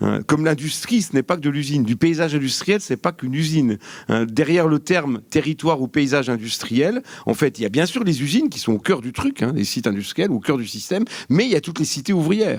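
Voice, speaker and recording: A man's very fast speech, fairly high in pitch, with lively intonation. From France, Vosges. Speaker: geography academic, panelist. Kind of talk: panel discussion. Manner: hesitant, many fillers.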